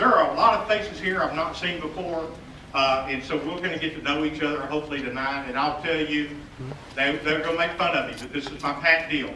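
Over light background noise and with audible room echo, a man speaks at a fairly quick pace with ordinary pitch variation. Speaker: city staff host. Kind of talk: public meeting welcome speech. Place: hall.

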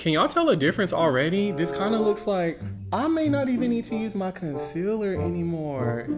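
A man talks at a fairly quick pace with very wide pitch swings, music playing in the background. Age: 20s. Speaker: YouTuber, beauty and lifestyle vlogger. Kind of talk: casual talk to camera. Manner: upbeat, chatty.

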